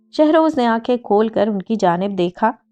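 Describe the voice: A plain read-aloud delivery with lively intonation.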